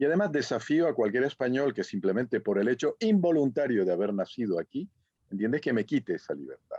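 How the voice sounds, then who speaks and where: A man's very fast speech at medium pitch, with very wide pitch swings, a dark, mellow tone, and a dry, close sound with no echo over a quiet background. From Canary Islands. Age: 60s. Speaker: professor. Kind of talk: conference Q&A.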